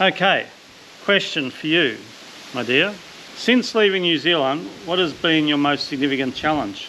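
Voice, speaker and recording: A man with an Australian accent at a moderate pace, with lively intonation, long, frequent pauses and noticeable background noise. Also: fairly high pitch for a man. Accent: thick Australian. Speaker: vlogger. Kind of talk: casual chat.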